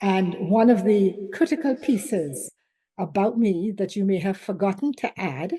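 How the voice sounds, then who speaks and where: With a Trinidadian accent, a woman talks in a dark, mellow, somewhat breathy tone and lively intonation. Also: quiet background. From Caribbean, Trinidadian family, born Saint Vincent. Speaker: business school director and leadership coach. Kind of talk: conference presentation. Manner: animated.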